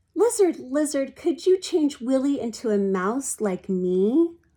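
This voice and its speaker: A female-sounding put-on character voice, high-pitched and shaky, moves at a fairly slow pace through very wide pitch swings in a very clean recording with a silent background. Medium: read story. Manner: quivering, timid.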